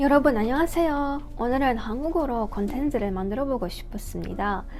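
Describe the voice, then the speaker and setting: A woman with a non-native accent speaks with lively intonation and a high pitch. Her moderate pace comes with audible room echo. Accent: non-native Korean. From Kazakhstan. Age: 20s. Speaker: vlogger. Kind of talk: casual vlog monologue.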